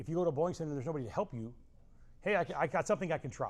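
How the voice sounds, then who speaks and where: A man speaks with an American accent. His pitch is fairly high with ordinary variation. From Southern California. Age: 60s. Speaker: bowling coach. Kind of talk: casual chat. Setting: bowling training center.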